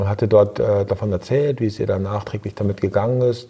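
A man talks fairly quickly, his fairly low voice keeping a fairly even intonation. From East Frisia, northern Germany. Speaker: hotel entrepreneur. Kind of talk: interview. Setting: recorded in person at a seminar. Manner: reflective, with filler hesitations.

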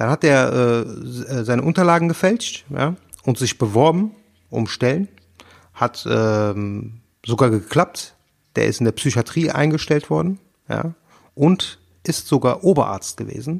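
On a very clean recording with a silent background and a dry, close sound with no echo, a man talks at a fairly slow pace and medium pitch, with lively intonation and long, frequent pauses. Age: 40s. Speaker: podcast co-host. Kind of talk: casual chat.

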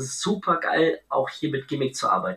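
A man's fairly high, bright and sharp voice with vocal fry, lively intonation and a fairly slow pace. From Bavaria, Augsburg. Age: 30s. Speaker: entrepreneur, event decor business founder. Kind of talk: podcast interview.

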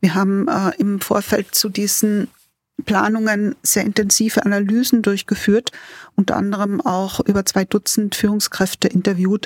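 Recorded with a dry, close sound and no echo, a woman speaks in a somewhat breathy voice with fairly even intonation. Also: medium pitch for a woman, moderate pace. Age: 60s. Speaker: facility management executive. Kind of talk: interview. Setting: remote call.

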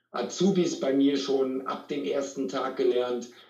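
Fairly high male pitch, with audible echo from the room. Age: 40s. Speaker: sales trainer and speaker. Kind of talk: interview.

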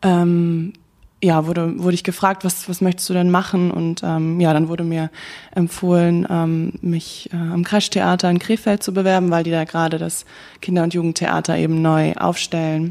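Her tone dark and mellow, a woman with a fairly low pitch speaks at a moderate pace in a monotone, flat intonation. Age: 20s. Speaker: actress, recent drama school graduate. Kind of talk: interview. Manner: halting, many fillers.

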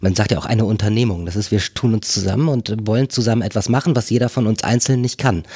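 A man speaks at a fairly quick pace in an unremarkable speaking voice with ordinary pitch variation. The recording is very clean, with a silent background. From northern Germany, near Bremen. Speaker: agile consultant. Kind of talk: casual interview conversation. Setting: on location at a company office.

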